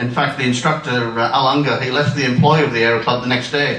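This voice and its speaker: At a fairly quick pace, a man speaks with ordinary pitch variation amid noticeable background noise and audible room echo. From northern England (near Darlington). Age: 60s. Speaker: retired amateur pilot and aero club life member. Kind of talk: anecdotal talk to an audience. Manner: halting, many fillers.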